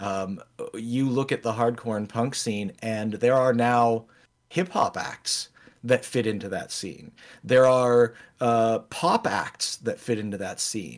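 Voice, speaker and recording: On a very clean recording with a silent background, a man with an American accent speaks at a very slow pace, medium pitch and ordinary pitch variation. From Erie, Pennsylvania. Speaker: podcast co-host. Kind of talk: casual chat.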